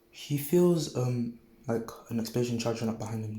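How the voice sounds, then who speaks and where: A man speaks at medium pitch and a moderate pace with ordinary pitch variation. Noticeable background noise and audible room echo come through. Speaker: YouTuber telling a fan-fiction scenario. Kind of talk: improvised storytelling monologue. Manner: halting, many fillers; quiet, soft-spoken.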